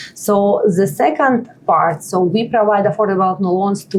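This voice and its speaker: A woman's medium-pitched voice with a Russian accent, fairly slow and with ordinary pitch variation, over noticeable background noise. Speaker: nonprofit partnership lead, immigrant advocate. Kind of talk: podcast interview. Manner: hesitant, filler-heavy.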